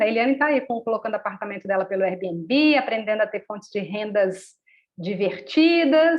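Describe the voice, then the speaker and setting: Her pitch fairly high, a woman speaks at a moderate pace with lively intonation in an ordinary speaking voice. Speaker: workshop facilitator. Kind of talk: live online workshop talk.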